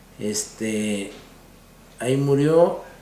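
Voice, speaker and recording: With noticeable background noise and audible room echo, a man speaks at a medium pitch with ordinary pitch variation. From Mexico, Guadalajara, Jalisco. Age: 60s. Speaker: interviewee recounting family history. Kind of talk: oral history interview. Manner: halting, with fillers.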